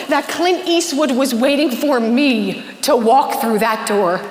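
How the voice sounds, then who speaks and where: A woman speaks in an energetic tone over noticeable background noise. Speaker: keynote speaker. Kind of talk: keynote conference talk. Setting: live stage in front of an audience. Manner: energetic, engaging, motivational.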